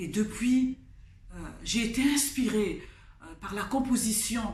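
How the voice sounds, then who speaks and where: Very slowly, a woman with a Congolese accent speaks in a fairly high voice, with audible room echo around her. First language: Kikongo (speaking French). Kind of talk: testimony. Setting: studio. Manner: halting, with hesitations.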